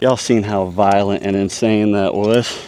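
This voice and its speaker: A man's fairly low voice with a Southern US accent at a fairly slow pace, over noticeable background noise. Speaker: fishing video host. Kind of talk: live fishing commentary. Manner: animated; quiet.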